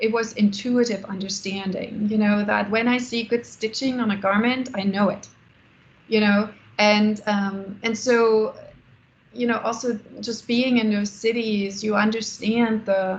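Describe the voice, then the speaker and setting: A woman with a German accent talks at a fairly slow pace in a fairly high pitch, somewhat breathy. Her intonation stays monotone and flat. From Germany. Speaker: architect and business founder. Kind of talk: Q&A after a lecture. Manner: halting, many fillers.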